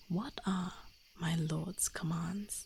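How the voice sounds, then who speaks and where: The speaker talks very slowly and softly. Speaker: vtuber streamer. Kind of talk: bedtime fairy tale reading. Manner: soft-spoken.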